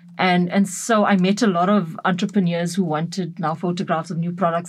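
A woman with a fairly low pitch and a somewhat breathy voice speaks at a moderate pace. The recording is very clean, with a silent background. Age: 30s. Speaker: photographer. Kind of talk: interview. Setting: studio.

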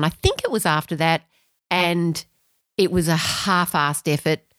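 In a dry, close sound with no echo, a woman with an Australian accent speaks with fairly even intonation. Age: 50s. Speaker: amateur runner. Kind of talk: casual chat.

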